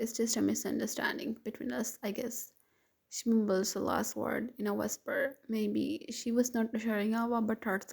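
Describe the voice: Over a quiet background, the speaker is doing plain reading aloud.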